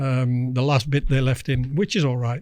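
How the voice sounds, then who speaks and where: This man speaks with a Dutch accent. His pace is fairly slow and his intonation fairly even. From Netherlands. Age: 60s. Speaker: former international angler. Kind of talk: podcast interview, personal story.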